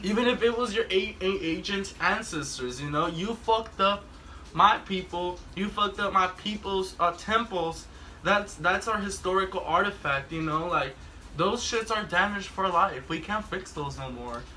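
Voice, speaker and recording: Raised and projected, a man's high-pitched voice moves at a moderate pace with ordinary pitch variation over noticeable background noise. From Mexico. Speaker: talk show host. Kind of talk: casual chat. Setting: drinking session with friends.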